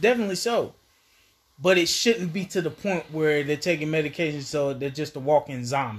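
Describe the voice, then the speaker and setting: Lively intonation and a somewhat breathy quality mark this man's fairly high voice. He talks at a fairly quick pace on a very clean recording with a silent background. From US South, Asheville, North Carolina. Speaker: addiction rehabilitation worker. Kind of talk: casual interview.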